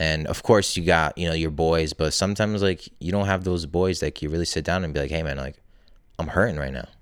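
A man with a very deep, low voice talks at a very fast pace with fairly even intonation in a very clean recording with a silent background. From Poland. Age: 20s. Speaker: entrepreneur and men's coach. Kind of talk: casual interview chat.

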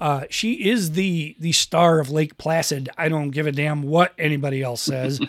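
A man with a plain, everyday voice talks at a moderate pace, hardly pausing. His pitch is fairly high, with ordinary variation. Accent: American. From Western New York. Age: 50s. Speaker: podcast host. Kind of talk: casual chat. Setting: home podcast studio.

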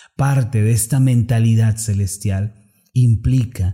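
A dark, mellow, somewhat breathy tone at a fairly slow pace with ordinary pitch variation. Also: man. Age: 30s. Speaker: preacher. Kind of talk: sermon. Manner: formal.

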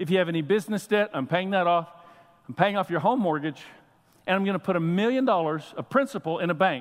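Loud and animated, a man speaks at a very fast pace in a high pitch. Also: ordinary pitch variation. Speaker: pastor. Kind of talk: sermon. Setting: church.

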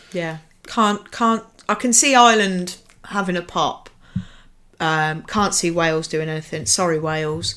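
Speaking at a fairly slow pace with long, frequent pauses, a woman uses a fairly low pitch, ordinary pitch variation and a bright, sharp tone. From English Midlands (Nuneaton, Warwickshire). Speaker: marketing professional. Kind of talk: casual chat.

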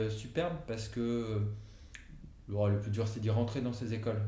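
A man's fairly low-pitched voice in monotone, flat intonation, with audible room echo and noticeable background noise. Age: 40s. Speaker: entrepreneur, company co-founder. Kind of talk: casual interview conversation. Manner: hesitant, many fillers.

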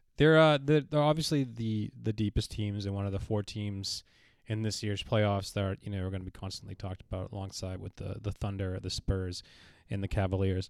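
With an American accent, a man speaks in a normal speaking voice at a fairly low pitch, with ordinary pitch variation. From Boston. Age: 20s. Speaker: TV production freelancer, sports fan. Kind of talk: casual chat.

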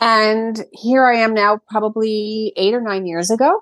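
A woman speaks with a New York accent against a quiet background. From US Northeast, Brooklyn, New York City. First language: Greek. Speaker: event planner and restaurant owner. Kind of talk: interview.

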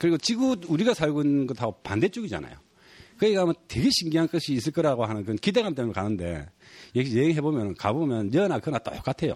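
Against a quiet background, a man talks at a very fast pace with a fairly high pitch, very wide pitch swings and big shifts in loudness, the sound dry and close with no echo. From South Korea, Gyeongsang region. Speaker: photographer and author. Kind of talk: casual chat.

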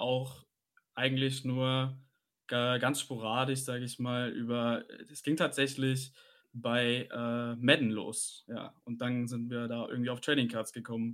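Over a silent background on a very clean recording, a man speaks very slowly at medium pitch in a flat monotone. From Hesse, Germany (Maintal near Frankfurt). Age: 20s. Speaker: podcast co-host, online card shop owner. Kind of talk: casual chat.

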